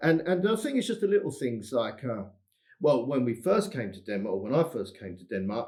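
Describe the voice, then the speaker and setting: With an English accent, a man at a medium pitch speaks fairly quickly, his pitch swinging very widely and his loudness rising and falling in big swings. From England. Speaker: English teacher. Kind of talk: casual interview chat.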